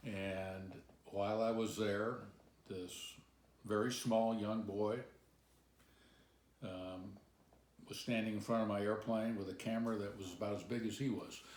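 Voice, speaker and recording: In a room with audible echo, a man with a fairly low voice speaks fairly slowly in a flat monotone, pausing long and often. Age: 70s. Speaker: pilot. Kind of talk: interview storytelling.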